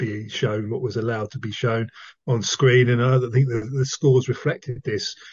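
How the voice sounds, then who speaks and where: Somewhat breathy, a man speaks. His pitch is medium. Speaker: film podcast co-host. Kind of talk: casual chat.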